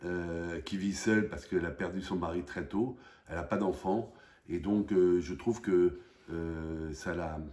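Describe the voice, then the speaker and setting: A man's very deep, low voice with a dark, mellow tone, fairly even intonation and a fairly slow pace. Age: 60s. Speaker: parishioner. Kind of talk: testimony. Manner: halting.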